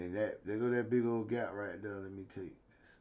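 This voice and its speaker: The speech comes from a man. He keeps a moderate pace, and his pitch rises and falls in an ordinary way. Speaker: stock trading video host. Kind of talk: market analysis tutorial. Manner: casual.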